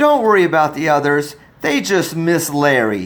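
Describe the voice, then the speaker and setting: A put-on character voice from a man, pitched fairly high, at a moderate pace. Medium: read story. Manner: warm, motherly.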